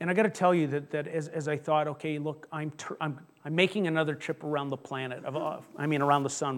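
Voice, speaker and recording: A man with an ordinary speaking voice, fairly high in pitch, at a fairly quick pace and with fairly even intonation. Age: 50s. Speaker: pastor. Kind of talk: sermon.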